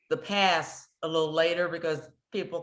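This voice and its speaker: A woman's fairly low-pitched voice with an American accent, an unremarkable speaking voice, at a moderate pace with fairly even intonation against a quiet background. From US West Coast, San Francisco (Hunters Point). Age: 60s. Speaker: community TV producer and host. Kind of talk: interview conversation.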